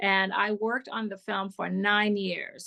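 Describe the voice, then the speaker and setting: A woman with a Hungarian accent speaks at a fairly slow pace and medium pitch, her tone bright and sharp, in a dry, close recording with no echo and a quiet background. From Hungary. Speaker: film director. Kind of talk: interview.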